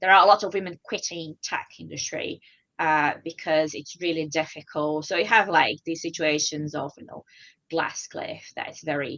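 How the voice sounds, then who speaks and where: A woman's very deep, low voice at a moderate pace. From Brazil. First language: Portuguese. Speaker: data professional. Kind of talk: conversational interview.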